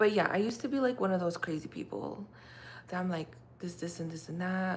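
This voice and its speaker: In a Russian accent, a woman with a fairly low pitch speaks in a calm tone with lively intonation. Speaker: livestreamer. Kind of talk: casual chat. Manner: calm and mellow.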